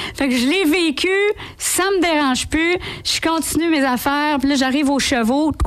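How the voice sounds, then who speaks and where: A high-pitched woman in a Quebec accent, with ordinary pitch variation, moderate pace and very even loudness, plus noticeable background noise. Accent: Laval Quebec French. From Quebec, Laval. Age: 40s. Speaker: impressionist and sound-effects comedian. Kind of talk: radio interview. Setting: radio studio.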